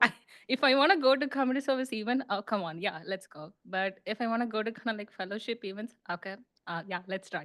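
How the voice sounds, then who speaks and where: A woman's fairly high voice, very fast and lively in intonation, over a quiet background. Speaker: international student, club member. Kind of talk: presentation to a club. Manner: halting, many fillers.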